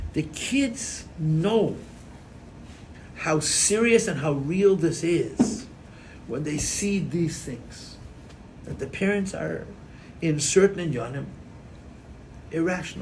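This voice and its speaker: Speaking very slowly with long, frequent pauses, a man uses a high pitch and lively intonation in a room with audible echo. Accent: American. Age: 50s. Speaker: rabbi and Chassidus teacher. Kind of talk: lecture. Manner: animated.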